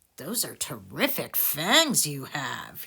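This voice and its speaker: A woman puts on a character voice with a very deep, low pitch. Her pace is fairly slow. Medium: read story. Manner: smooth, persuasive.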